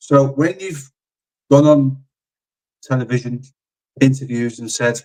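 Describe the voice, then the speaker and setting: Fairly slow, fairly even speech in a Liverpool accent, broken by long, frequent pauses. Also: man, medium pitch for a man. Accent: Scouse. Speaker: football content creator. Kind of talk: casual football discussion.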